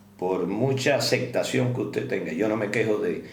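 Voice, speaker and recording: A man's lively intonation and medium pitch come through noticeable background noise, with audible room echo around him. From Cuba. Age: 70s. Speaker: doctor. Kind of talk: interview.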